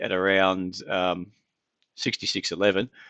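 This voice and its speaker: Here a man with an Australian accent talks in a fairly low pitch and a bright, sharp tone. The sound is dry and close with no echo, against a quiet background. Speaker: market analyst, trading live-stream host. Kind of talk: live market analysis stream. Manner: casual, conversational with fillers.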